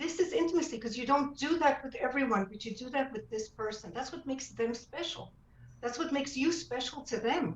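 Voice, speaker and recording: A woman's high, fairly quick voice with lively intonation and big swings in loudness, over noticeable background noise. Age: 70s. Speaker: author. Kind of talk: interview. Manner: animated.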